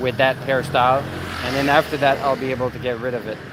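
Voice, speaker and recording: Over noticeable background noise, a man with a Canadian accent speaks at a fairly high pitch. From Quebec. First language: French. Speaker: YouTuber. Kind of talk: livestream chat. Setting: livestream, outdoors at night on bike.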